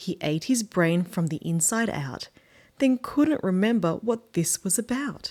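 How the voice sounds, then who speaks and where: A woman speaks in an Australian accent with very wide pitch swings. The recording is very clean, with a silent background. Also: medium pitch for a woman, fairly slow pace. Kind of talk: children's book read-aloud.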